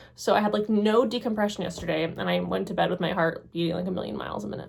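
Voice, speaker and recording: Over noticeable background noise, a woman talks at a very fast pace in a fairly low pitch, her voice making very wide pitch swings. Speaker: writing vlogger and PhD student. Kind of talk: casual vlog monologue.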